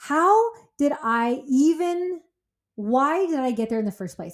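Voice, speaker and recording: The voice carries an American accent and lively intonation. The recording is very clean, with a silent background. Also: woman. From California. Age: 40s. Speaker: podcast host, fitness and wellness coach. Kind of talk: personal monologue. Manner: loud; fast.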